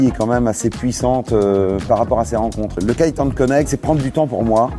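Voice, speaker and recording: Over music in the background, a man with a medium pitch speaks fairly quickly. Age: 60s. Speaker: business owner. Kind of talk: interview. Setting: event interview. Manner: halting, many fillers.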